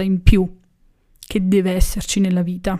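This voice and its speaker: In a very clean recording with a silent background, a woman speaks at a moderate pace in a dark, mellow tone. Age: 20s. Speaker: podcast host. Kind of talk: music analysis podcast monologue.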